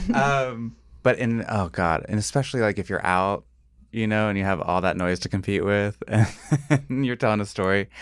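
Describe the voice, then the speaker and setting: Over a very clean, silent background, a man talks at a moderate pace with a fairly low pitch and ordinary pitch variation. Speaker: blind date participant. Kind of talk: casual chat. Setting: studio. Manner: mumbling.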